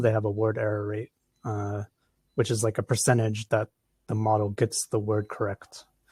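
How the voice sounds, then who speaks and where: A man at medium pitch with an American accent sounds somewhat breathy, recorded dry and close with no echo on a very clean track with a silent background. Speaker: research software developer. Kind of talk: conference Q&A. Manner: hesitant, many fillers.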